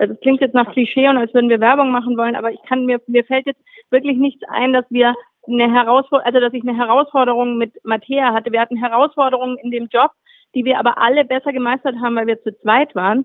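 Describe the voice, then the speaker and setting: Her high-pitched voice runs at a very fast pace, monotone and flat throughout, as the woman speaks. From Swabia, southern Germany. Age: 40s. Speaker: magazine editor-in-chief. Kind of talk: interview.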